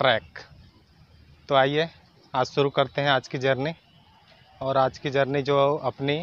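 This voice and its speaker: This is a man's voice. The sound is dry, with no echo. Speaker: travel vlogger. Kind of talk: casual vlog chat. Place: street. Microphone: phone near.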